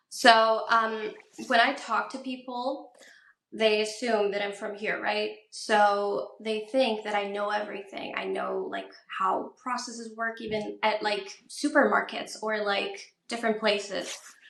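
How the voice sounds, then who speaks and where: With audible room echo behind her, a woman speaks fairly slowly in a fairly high pitch, her tone bright and sharp and her intonation fairly even. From Iran. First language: Persian. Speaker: PhD student. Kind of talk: interview.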